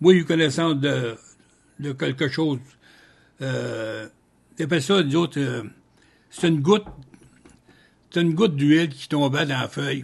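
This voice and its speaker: Over a quiet background, a somewhat breathy man with a Quebec accent speaks at a fairly high pitch with ordinary pitch variation. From Trois-Rivières, Quebec. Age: 80s+. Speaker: retired paper mill worker. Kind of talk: interview answer. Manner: casual, colloquial storytelling.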